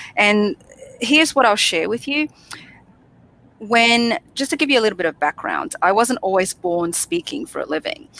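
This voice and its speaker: The pitch swings very widely, long pauses come often, and the sound is dry and close with no echo. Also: woman, fairly high pitch for a woman, moderate pace. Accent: Australian. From Australia, Sydney. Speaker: public speaking coach. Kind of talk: interview.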